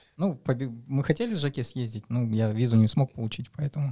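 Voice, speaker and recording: A man talks at a moderate pace with a dark, mellow tone. His voice is somewhat breathy, and the recording is very clean with a silent background. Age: 30s. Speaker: amateur marathon runner. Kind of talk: casual chat.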